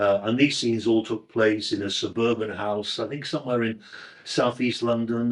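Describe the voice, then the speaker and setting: This man's voice sits at a medium pitch, and his pace is moderate. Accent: northern English. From northern England, Crewe in Cheshire. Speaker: actor. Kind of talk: interview reminiscence. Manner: halting, with fillers and self-corrections.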